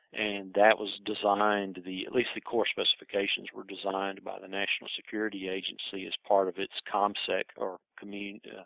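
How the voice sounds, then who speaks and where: The speech moves at a fairly quick pace in a monotone, flat intonation, with big swings in loudness. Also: man, fairly low pitch for a man. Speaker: presenter on intelligence history; air force veteran. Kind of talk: lecture. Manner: fast.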